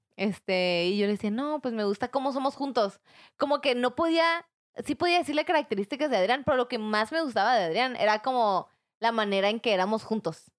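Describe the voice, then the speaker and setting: Fairly quick speech in a plain, everyday voice, with lively intonation and very even loudness. The sound is dry and close with no echo, recorded very cleanly against a silent background. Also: woman, fairly high pitch for a woman. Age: 20s. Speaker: podcast guest. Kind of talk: casual chat.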